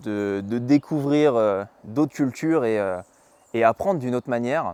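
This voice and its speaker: The delivery is fairly slow with ordinary pitch variation, captured in a very clean recording with a silent background and a dry, close sound with no echo. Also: man. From western France, Mayenne. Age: 20s. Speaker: podcast host, traveler. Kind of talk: podcast monologue. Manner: halting, many hesitations.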